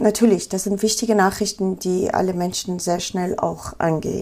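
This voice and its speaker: A woman speaks in an Afghan accent at a fairly slow pace. Her tone is dark and mellow, at medium pitch. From Afghanistan, Kabul. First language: Pashto (speaking German). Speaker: photojournalist. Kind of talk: interview.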